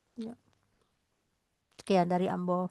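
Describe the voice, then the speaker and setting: A woman talks with ordinary pitch variation. The sound is dry and close, with no echo. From West Java, Bandung. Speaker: program host. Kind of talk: online discussion program. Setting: Zoom call streamed on radio.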